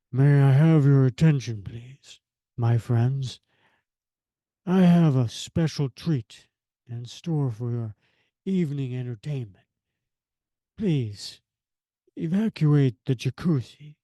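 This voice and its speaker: A put-on character voice, raspy and breathy, sits at a low-to-middle pitch. It moves at a fairly slow pace with long, frequent pauses. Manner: jaded.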